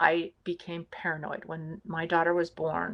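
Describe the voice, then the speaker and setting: Speaking at a fairly slow pace, a woman has a fairly low pitch and an American accent. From California, USA. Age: 50s. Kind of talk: personal interview answer about childhood abuse. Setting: home recording, remote interview.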